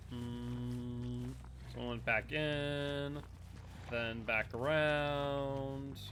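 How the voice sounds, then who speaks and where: The speech has an American accent and a very slow pace. Music plays in the background. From Massachusetts, US East Coast. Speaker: gaming streamer. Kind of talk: live gameplay commentary. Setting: live stream.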